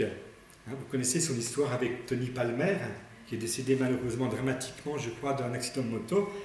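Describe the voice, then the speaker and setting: Noticeable background noise and audible room echo accompany a man with a medium pitch and ordinary pitch variation. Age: 60s. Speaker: priest. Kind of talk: religious talk. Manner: hesitant.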